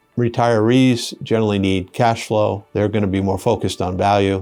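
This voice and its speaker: Over music in the background, a man with a fairly low pitch talks at a moderate pace in a flat monotone. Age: 60s. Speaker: investment advisor. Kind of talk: explainer talk to camera. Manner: casual, with filler hesitations.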